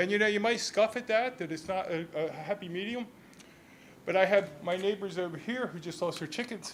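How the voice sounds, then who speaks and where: Talking at a fairly quick pace, a man with an American accent has a high pitch. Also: ordinary pitch variation. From southern New Jersey, Millville. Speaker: resident speaking at public comment. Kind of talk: public comment at a city council meeting. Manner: halting, many repeated words.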